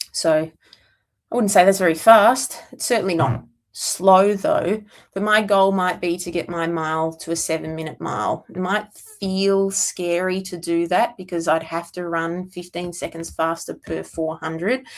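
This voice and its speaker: At a moderate pace, a woman talks at a fairly low pitch with ordinary pitch variation. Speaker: CrossFit coach answering viewer questions. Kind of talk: casual livestream Q&A monologue. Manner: rambling, self-described mumbling.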